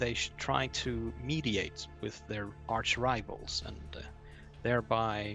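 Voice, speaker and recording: With music in the background, a man talks at a very slow pace in a fairly low pitch with lively intonation. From Iceland. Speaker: fantasy novel writer. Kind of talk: interview answer.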